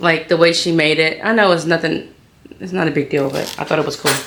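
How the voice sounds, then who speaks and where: A woman speaks at a fairly quick pace in a fairly low pitch. Audible room echo and noticeable background noise come through. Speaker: sewing youtuber. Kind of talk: tutorial. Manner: animated.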